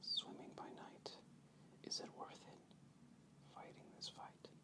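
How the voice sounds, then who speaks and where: A man whispering at a very slow pace with long, frequent pauses. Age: young. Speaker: oil field pipe inspector. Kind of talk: poetry reading. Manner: relaxed, hesitant, with many filler words.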